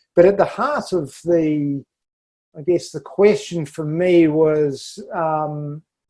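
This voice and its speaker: Speaking at a very slow pace with a New Zealand accent, a man uses a fairly high pitch and a dark, mellow tone with fairly even intonation. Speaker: architect and sustainability leader. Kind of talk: podcast interview. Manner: halting with frequent fillers.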